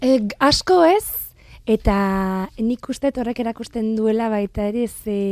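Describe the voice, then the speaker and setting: Her voice sits at a fairly high pitch with ordinary pitch variation. The woman is heard in a dry, close sound with no echo. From France, Marseille. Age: 20s. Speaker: translator. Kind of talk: interview. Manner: halting.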